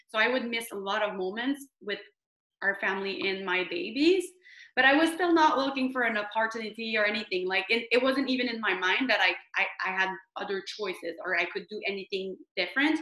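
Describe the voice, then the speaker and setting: Speaking at a fairly quick pace, a woman with a strong French Canadian accent uses a fairly high pitch, a bright, sharp tone and lively intonation. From Quebec, Canada. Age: 30s. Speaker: direct sales team leader. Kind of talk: online training presentation. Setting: video call. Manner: halting.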